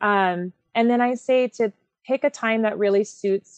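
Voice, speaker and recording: A woman speaks in a plain, everyday voice, recorded with a dry, close sound and no echo. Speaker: associate director of groups department, group leader. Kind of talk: casual podcast interview.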